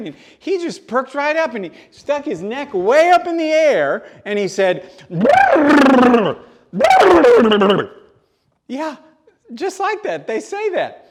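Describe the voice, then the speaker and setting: A man puts on a character voice with an extremely high pitch. He speaks at a fairly slow pace, his pitch swinging very widely. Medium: solo performance.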